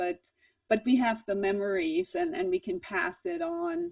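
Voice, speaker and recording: A woman with a German accent, very wide pitch swings and a moderate pace. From Germany, Swabia. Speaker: jazz professor. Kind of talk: online presentation. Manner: halting, many repeated words.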